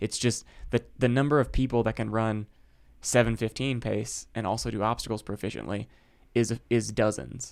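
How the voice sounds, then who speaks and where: A man with an American accent at a moderate pace, with vocal fry and fairly even intonation. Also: medium pitch for a man, very clean recording, silent background. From US Midwest, Chicago. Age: 30s. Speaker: ultrarunner. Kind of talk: casual chat. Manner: halting.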